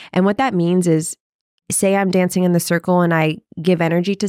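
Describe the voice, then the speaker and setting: On a very clean recording with a silent background and a dry, close sound with no echo, a woman with an American accent talks at a fairly quick pace in an animated tone and a medium pitch. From small-town Texas. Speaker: professional shuffle dancer and dance teacher. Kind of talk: casual podcast interview.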